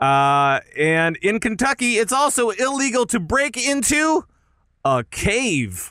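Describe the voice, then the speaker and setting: In a very clean recording with a silent background, a man with an extremely high pitch and a bright, sharp tone uses a raised, projected voice at a very slow pace, his pitch swinging very widely while his loudness stays very even. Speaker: podcast co-host. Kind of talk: casual chat. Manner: halting.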